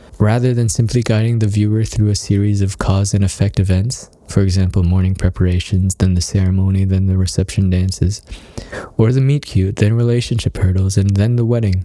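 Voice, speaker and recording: A man's fairly low voice at a fairly quick pace, very even in loudness and fairly even in intonation, over noticeable background noise. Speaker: wedding filmmaker and author. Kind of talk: reading aloud from own book. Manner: getting softer.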